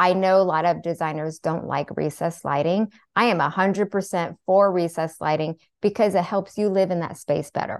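A woman with an American accent, fairly low in pitch and fairly quick, with fairly even intonation and an unremarkable speaking voice, in a dry, close sound with no echo against a quiet background. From US Pacific Northwest (Seattle). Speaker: therapist turned interior designer and author. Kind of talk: podcast interview.

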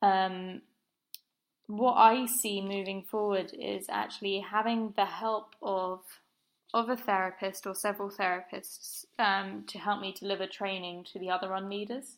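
A woman speaks at a fairly slow pace with an English accent. Her intonation stays flat and monotone. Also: medium pitch for a woman. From southern England, Brighton. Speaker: running group founder. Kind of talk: interview. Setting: remote call.

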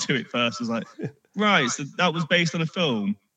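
A man with an English accent talks at a fairly quick pace in a bright, sharp tone, his pitch swinging very widely. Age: 30s. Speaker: podcast guest, Simpsons fan. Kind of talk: casual chat.

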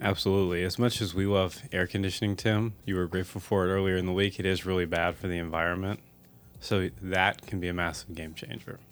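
Very fast and flat in monotone, a man speaks with a very deep, low pitch. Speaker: podcast host. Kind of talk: casual chat.

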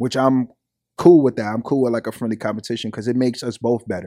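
Talking very fast with a New York accent, a man at a medium pitch uses fairly even intonation and a dark, mellow tone in a very clean recording with a silent background. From Brooklyn, New York. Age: 20s. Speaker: rapper. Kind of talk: casual chat.

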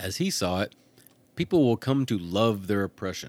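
A man is speaking. His pitch sits fairly low. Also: very clean recording, silent background. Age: 40s. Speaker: podcast host. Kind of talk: solo podcast commentary. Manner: animated.

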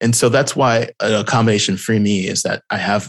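Over a quiet background, the speaker uses an ordinary speaking voice with an American accent at a moderate pace. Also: man. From Houston, Texas. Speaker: tech community manager. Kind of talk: interview conversation. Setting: video call.

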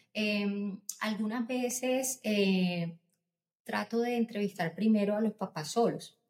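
Very slowly, a woman speaks in a somewhat breathy, fairly high voice with ordinary pitch variation. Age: 40s. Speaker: pediatrician. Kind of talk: interview.

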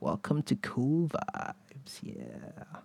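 The pitch is medium for a man. He is doing a put-on character voice. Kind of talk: smooth broadcaster style. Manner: chill, laid-back.

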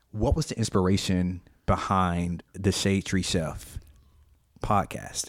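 Recorded very cleanly against a silent background, a man with an Alabama accent speaks at a very slow pace, his very deep, low pitch showing ordinary variation. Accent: US Southern (Alabama). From Alabama, Montgomery. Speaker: IT worker, guest interviewer. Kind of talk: casual interview. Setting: studio, recorded with video.

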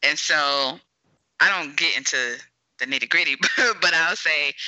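A woman with an American accent talks at a moderate pace, her voice showing vocal fry. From US South. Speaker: podcast host and mental health therapist. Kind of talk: interview podcast conversation.

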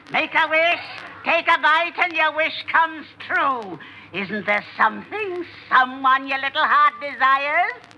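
This is a put-on character voice at a high pitch. It moves at a moderate pace. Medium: old radio play. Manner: brash, impulsive.

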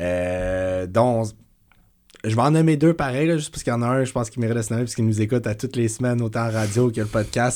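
A man is speaking. He has a Quebec accent. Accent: Québécois French. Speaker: podcast co-host. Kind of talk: casual chat.

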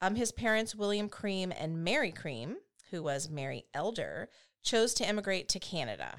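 At a moderate pace, a woman speaks in a normal speaking voice with a medium pitch and lively intonation, on a very clean recording with a silent background. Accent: American. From United States. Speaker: true crime podcast co-host. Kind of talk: casual storytelling.

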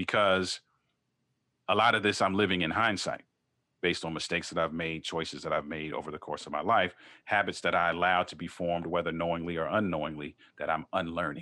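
In a very clean recording with a silent background, a speaker with an American accent talks at a very fast pace in a bright, sharp tone with fairly even intonation. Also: man, very deep, low pitch for a man. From Baltimore, Maryland, US. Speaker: marriage coach. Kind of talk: interview.

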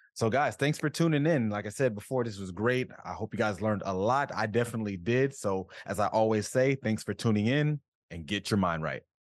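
He has a plain, everyday voice, pitched fairly low with ordinary pitch variation. The man talks at a fairly quick pace. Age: 30s. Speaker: podcast host. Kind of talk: casual podcast interview.

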